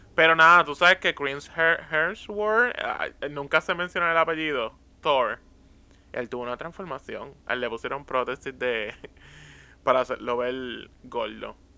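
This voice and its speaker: Speaking at a fairly slow pace, a man uses lively intonation and a bright, sharp tone at a fairly high pitch. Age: 20s. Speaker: actor. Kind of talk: casual chat.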